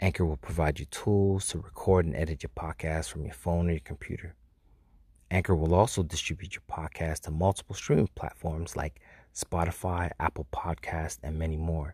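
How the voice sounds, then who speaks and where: A man at a very deep, low pitch, somewhat breathy, at a moderate pace. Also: fairly even intonation, very clean recording, silent background. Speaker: podcast host. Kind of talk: scripted intro and ad read.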